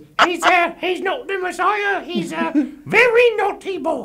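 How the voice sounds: An extremely high-pitched, put-on character voice. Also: fairly slow pace.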